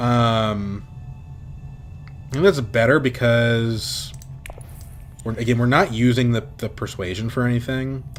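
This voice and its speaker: Music plays in the background. Over it, a man speaks at medium pitch. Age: 20s. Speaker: game streamer. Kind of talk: live gameplay commentary. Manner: casual, thinking aloud with fillers.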